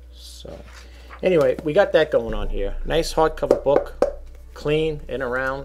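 Over loud background noise, a man speaks at a fairly slow pace with big swings in loudness. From New York. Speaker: online reseller. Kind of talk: product showcase video; casual product showing chat. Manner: halting, filler-heavy. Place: home room. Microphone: webcam.

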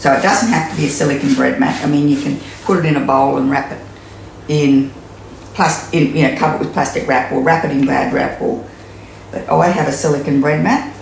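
A woman's extremely low voice with vocal fry, fairly even intonation and a fairly quick pace, in strong room echo.

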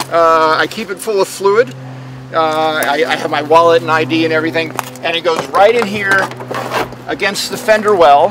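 Over noticeable background noise, a man talks at a moderate pace in a high pitch with ordinary pitch variation, the sound dry with no echo. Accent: American. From Washington, D.C. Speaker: velomobile owner; interviewee. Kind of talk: interview. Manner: halting.

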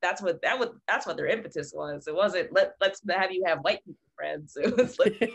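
With an American accent, a woman speaks at a moderate pace with hardly any pauses and big swings in loudness. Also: quiet background. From Philadelphia, US. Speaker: multi-disciplinary artist; guest. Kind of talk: casual chat. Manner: halting. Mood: earnest, animated. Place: home room. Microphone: video call.

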